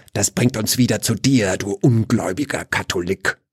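Putting on a character voice, a man uses a medium pitch and a menacing tone at a moderate pace, with hissing in a dry, close sound with no echo. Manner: hissing, menacing.

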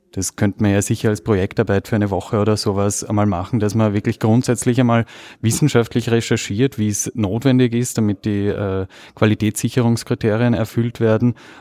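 A man with a fairly low pitch and a dark, mellow tone, flat monotone delivery at a fairly quick pace, dry and close with no echo, very clean recording and a silent background. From Vienna, Austria. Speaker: podcast conference attendee. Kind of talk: casual chat. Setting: conference venue.

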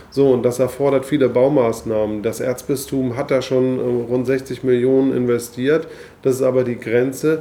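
Flat, monotone delivery at a moderate pace over noticeable background noise. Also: man, medium pitch for a man. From Hamburg, northern Germany. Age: 40s. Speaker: politician. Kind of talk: interview.

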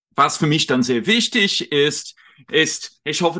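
Lively intonation marks a man's fairly high voice at a fairly slow pace. The background is quiet. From United Kingdom. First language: English (speaking German). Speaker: journalist and lecturer on European politics. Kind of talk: interview on a livestream. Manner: halting, with fillers.

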